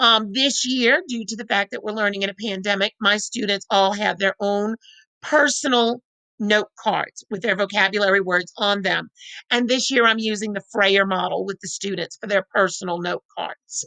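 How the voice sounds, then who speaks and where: A woman speaks loudly at a medium pitch and a moderate pace, her tone bright and sharp. Her intonation is fairly even, and the sound is dry and close with no echo. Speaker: teacher. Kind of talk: professional development presentation.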